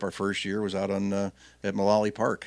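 In a very clean recording with a silent background, a man with a plain, everyday voice and fairly low pitch talks at a fairly quick pace. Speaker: radio host. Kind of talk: casual chat.

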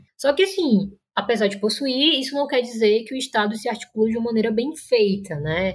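A woman with an unremarkable speaking voice, fairly high and lively in pitch, talks at a fairly quick pace with hardly any pauses. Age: 20s. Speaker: master's student in international relations. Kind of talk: interview, explanatory.

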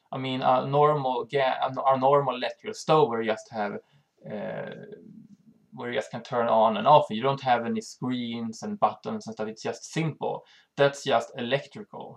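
Someone speaks at a moderate pace with a Swedish accent. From Sweden. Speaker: channel host on health and EMF. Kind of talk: informational monologue. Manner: halting.

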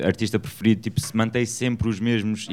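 A man is talking here. His pace is fairly quick. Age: young. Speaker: radio host. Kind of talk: casual chat.

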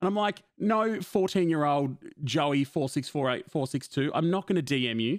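A man with a normal speaking voice talks at a moderate pace in a fairly high pitch, his intonation lively and his loudness very even, on a very clean recording with a silent background. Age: 20s. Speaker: podcast host and streamer. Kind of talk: casual chat.

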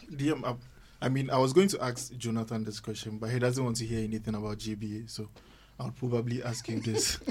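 This man speaks at a fairly quick pace. His voice is somewhat breathy and medium in pitch. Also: fairly even intonation. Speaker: lawyer co-host. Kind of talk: casual discussion.

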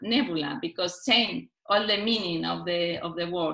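Lively intonation marks a woman's speech in a Spanish accent. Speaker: novelist. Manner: halting.

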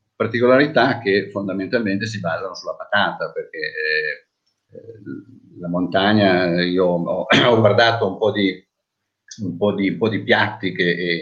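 This man has a normal speaking voice, moving at a fairly slow pace with ordinary pitch variation. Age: 60s. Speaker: hotel manager. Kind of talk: webinar panel talk.

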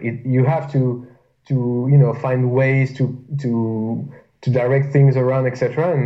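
A somewhat breathy man at a medium pitch, very slow and flat in a monotone. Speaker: powerlifter. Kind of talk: casual chat.

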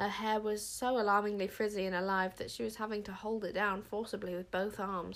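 The text is read aloud in a natural voice.

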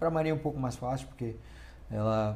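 There is audible room echo around a man whose voice has a dark, mellow tone. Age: 30s. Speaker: podcast co-host. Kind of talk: casual chat.

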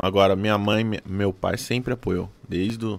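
The man's voice sits fairly low in pitch, and he takes a fairly slow pace. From Fernandópolis, interior of São Paulo. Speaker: drummer. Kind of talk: casual chat. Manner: halting.

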